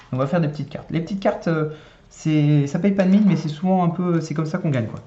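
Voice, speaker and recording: A man at a very fast pace with ordinary pitch variation, amid noticeable background noise and audible room echo. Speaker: board game youtuber. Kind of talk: solo gameplay tutorial. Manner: casual, hesitant with many euh.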